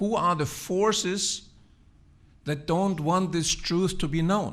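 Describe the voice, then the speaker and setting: Here a man talks with a German accent. His pace is fairly slow and his pitch varies in an ordinary way. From Germany. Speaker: physician and researcher. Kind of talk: speech.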